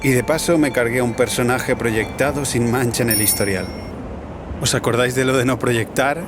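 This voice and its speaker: A man talks at a moderate pace with ordinary pitch variation. Noticeable background noise sits behind him. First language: Catalan (speaking Spanish). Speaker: cycle traveller and documentary maker. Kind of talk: documentary narration.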